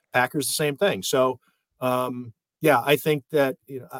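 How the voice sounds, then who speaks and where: Bright and sharp in tone, a man's fairly high voice comes through dry and close with no echo. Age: 50s. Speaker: sports journalist. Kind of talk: casual chat.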